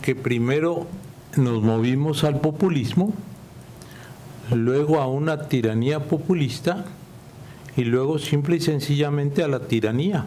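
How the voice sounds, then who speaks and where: A man speaks at a fairly high pitch with ordinary pitch variation and very even loudness. His fairly slow delivery has long, frequent pauses, and audible room echo surrounds it. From Nicaragua. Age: 70s. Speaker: author and political scientist. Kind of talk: Q&A answer at book presentation. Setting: auditorium with audience.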